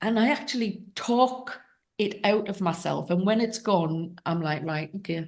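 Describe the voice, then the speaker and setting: The pace is fairly slow. A woman talks at a medium pitch. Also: ordinary pitch variation. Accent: English. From England. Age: 60s. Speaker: podcast host. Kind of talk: interview conversation.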